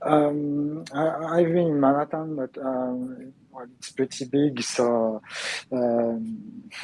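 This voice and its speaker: Against noticeable background noise, a man speaks very slowly with lively intonation and big swings in loudness. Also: fairly high pitch for a man. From France. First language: French. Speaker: gaming channel host. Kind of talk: interview. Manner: halting, many fillers.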